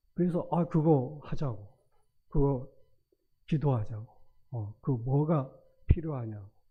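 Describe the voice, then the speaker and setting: Somewhat breathy and fairly slow, a man speaks with ordinary pitch variation and long, frequent pauses. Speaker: retired school principal, church elder. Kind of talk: testimony. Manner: halting.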